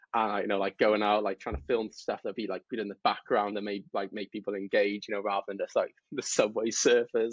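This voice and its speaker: With a British accent, a man speaks in a fairly low pitch. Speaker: mental health content creator, Navy veteran. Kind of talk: podcast interview. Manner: fast.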